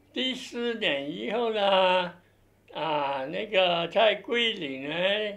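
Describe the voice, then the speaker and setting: Lively intonation and a high pitch mark this man's very slow speech. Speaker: military police veteran. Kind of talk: oral history interview answer. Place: office.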